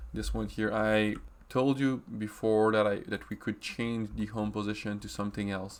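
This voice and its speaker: This man's voice sits at a fairly low pitch. He has a French accent. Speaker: software trainer. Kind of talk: tutorial. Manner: halting, with many fillers.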